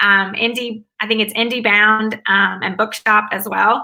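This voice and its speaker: A woman's fairly high voice in a Southern US accent, at a moderate pace with ordinary pitch variation. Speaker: academic advisor and author. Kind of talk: interview.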